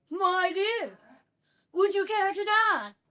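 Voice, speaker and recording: Pitched extremely high, the voice is a put-on character act. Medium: stage play. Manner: courtly, playful.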